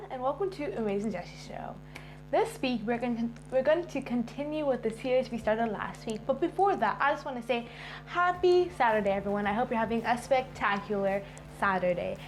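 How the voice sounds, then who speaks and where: Fairly quick speech with lively intonation against noticeable background noise. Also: woman. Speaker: author and video host. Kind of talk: book reading and explanation. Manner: tends to talk fast.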